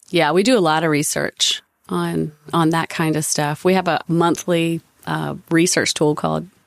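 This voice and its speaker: In a Southern US accent, a woman speaks with a very deep, low pitch and ordinary pitch variation. Her fairly slow delivery has a dry, close sound with no echo. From US South, North Carolina. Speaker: advertising creative executive. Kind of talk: casual interview conversation.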